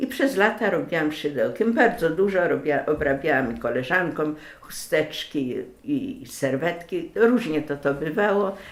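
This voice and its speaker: A woman's fairly low voice with very wide pitch swings. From Greater Poland (Wielkopolska), western Poland. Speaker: lace maker, craftswoman. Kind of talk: personal life story interview. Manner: hesitant, with many filler sounds.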